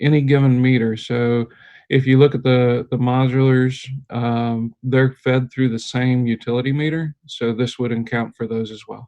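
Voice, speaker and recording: A man speaks at a medium pitch with fairly even intonation. His is an ordinary speaking voice. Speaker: energy services consultant. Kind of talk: presentation to school board. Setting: video call.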